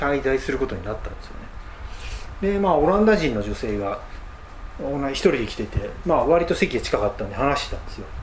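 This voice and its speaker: A man talks at a fairly quick pace but leaves long, frequent pauses. Audible room echo and noticeable background noise surround his voice. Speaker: travel radio host. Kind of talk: solo travel talk. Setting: cheap guesthouse room.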